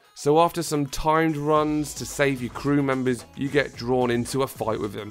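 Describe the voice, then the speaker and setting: A man speaks at a moderate pace in a medium pitch, his pitch rising and falling in an ordinary way, with music playing in the background. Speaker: gaming YouTuber. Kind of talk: comedic video game review narration.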